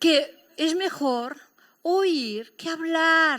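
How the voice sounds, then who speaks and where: A woman's high, animated voice in a Catalan accent, bright and sharp in tone, with ordinary pitch variation, on a very clean recording with a silent background. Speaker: pastor. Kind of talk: sermon.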